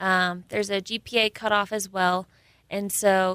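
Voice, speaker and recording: Recorded very clean against a silent background, a woman with an American accent speaks in a bright, sharp tone. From California. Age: 20s. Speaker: military cadet and skydiver. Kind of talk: interview.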